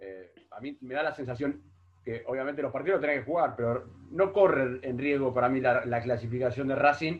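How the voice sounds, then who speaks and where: A man's plain, everyday voice with big swings in loudness and ordinary pitch variation. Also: medium pitch for a man, fairly quick pace. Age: 40s. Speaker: football pundit. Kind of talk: casual football analysis chat.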